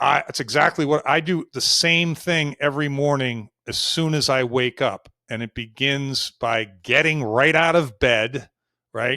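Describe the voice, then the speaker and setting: A man's fairly high-pitched, bright, sharp voice at a fairly slow pace with ordinary pitch variation, dry and close with no echo, in a very clean recording over a silent background. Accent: American. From US Northeast, Boston. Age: 60s. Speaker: career coach. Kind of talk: interview conversation.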